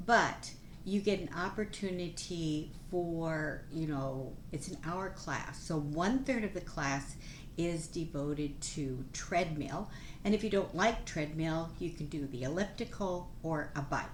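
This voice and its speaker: There is audible room echo as a woman talks at a fairly slow pace. Her pitch is fairly low, with ordinary variation. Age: 70s. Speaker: nurse and plant-based nutrition vlogger. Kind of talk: casual informational talk to camera. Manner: animated.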